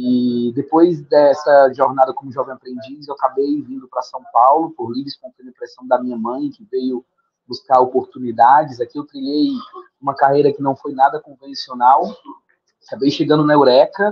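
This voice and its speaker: At a moderate pace, a man with a fairly high voice talks with fairly even intonation while his loudness swings widely. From Brazil, Fortaleza, Ceará. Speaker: leadership program founder. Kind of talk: podcast interview.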